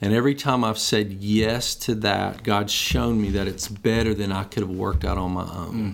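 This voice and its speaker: A normal speaking voice, a man with fairly low pitch at a moderate pace, hardly any pauses. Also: ordinary pitch variation. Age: 50s. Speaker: pastor. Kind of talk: casual interview.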